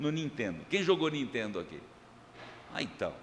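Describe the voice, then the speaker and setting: Lively intonation with vocal fry. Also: man. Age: 60s. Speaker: pastor. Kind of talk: sermon. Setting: church. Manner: casual, joking.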